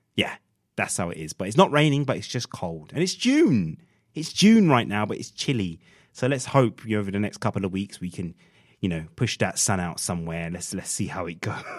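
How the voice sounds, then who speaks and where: Lively intonation from a man with a fairly low pitch at a fairly quick pace, in a very clean recording with a silent background. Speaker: radio host. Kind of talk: radio show presenting. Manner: animated.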